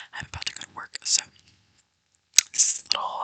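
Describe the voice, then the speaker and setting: A woman whispers with a dry, close sound with no echo. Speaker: ASMR creator. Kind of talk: ASMR whispering. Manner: whispering. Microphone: mic quality issues.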